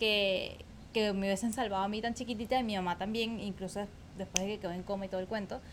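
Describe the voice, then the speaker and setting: Here a woman is speaking. Her intonation is monotone and flat. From Venezuela, Caracas. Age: 20s. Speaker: podcast host. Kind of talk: personal story monologue. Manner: casual, with many filler words.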